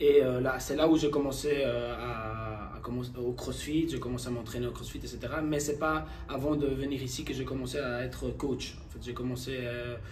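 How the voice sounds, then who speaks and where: With audible room echo and noticeable background noise, a man talks at a moderate pace with hardly any pauses. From Spain. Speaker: gym owner and fitness coach. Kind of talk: casual chat. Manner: halting.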